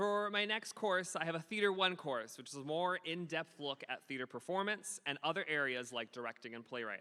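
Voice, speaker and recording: Loud and bright with a sharp tone, the voice moves at a fairly quick pace with lively intonation and hardly any pauses. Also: man, fairly high pitch for a man. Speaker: middle school theater teacher. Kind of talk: award ceremony speech. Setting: school ceremony with audience. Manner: animated.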